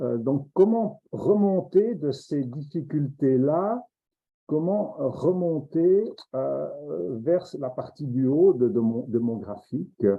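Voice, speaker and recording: A man with a fairly high pitch speaks at a very slow pace, his intonation lively. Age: 60s. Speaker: professor. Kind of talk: lecture. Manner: halting.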